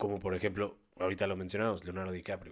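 This is a man talking at a fairly quick pace on a very clean recording with a silent background. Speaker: podcast co-host. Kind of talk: casual chat.

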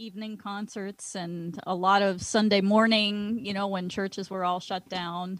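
A woman speaks at a medium pitch and a moderate pace. It is an ordinary speaking voice. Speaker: musician guest. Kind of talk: casual radio chat.

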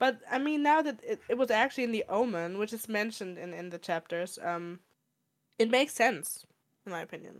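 In a normal speaking voice, the speaker moves at a fairly quick pace with lively intonation. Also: woman, fairly high pitch for a woman. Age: 20s. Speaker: podcast co-host. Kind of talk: casual chat.

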